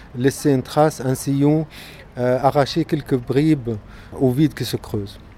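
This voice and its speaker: A man's fairly high voice with ordinary pitch variation, at a fairly slow pace over noticeable background noise. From Gaza, Palestine. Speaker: visual artist. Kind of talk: interview. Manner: halting, many repetitions.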